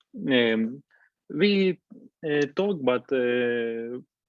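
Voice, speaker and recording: A man with a Ukrainian accent speaks at medium pitch. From Ukraine, Zaporizhzhia. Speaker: war veteran. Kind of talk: interview. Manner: halting, many hesitations.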